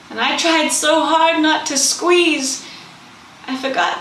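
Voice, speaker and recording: There is noticeable background noise behind a woman speaking. She goes very slowly, with ordinary pitch variation. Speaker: spoken word poet. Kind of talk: spoken word poetry performance. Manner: emotional, raw.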